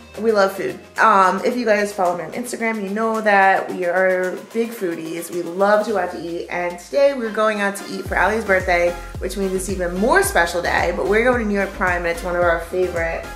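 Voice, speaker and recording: A woman talking at a fairly quick pace with hardly any pauses and fairly even intonation, amid audible room echo and clear music in the background. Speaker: fitness vlogger. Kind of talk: casual vlog chat. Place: home room. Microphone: phone near.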